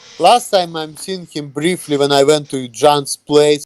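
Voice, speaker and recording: The speaker has a non-native accent and talks at a moderate pace, with a dry, close sound and no echo. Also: man. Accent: foreign. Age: 30s. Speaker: YouTuber. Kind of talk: casual interview.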